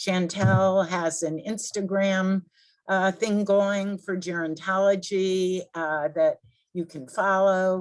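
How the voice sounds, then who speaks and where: Speaking at a very slow pace, a woman uses a medium-pitched voice. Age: 60s. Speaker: event host. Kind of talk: announcements and Q&A.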